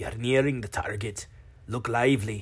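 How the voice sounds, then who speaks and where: A man uses a put-on character voice that is gruff and medium in pitch. He delivers it at a moderate pace. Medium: read story. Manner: gruff, clipped.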